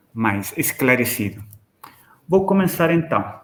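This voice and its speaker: There is audible room echo around this speaker. He is a man with a fairly high pitch. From Chile. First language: Spanish (speaking Portuguese). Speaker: professor. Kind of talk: lecture. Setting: video call. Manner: halting, frequent repetitions and fillers.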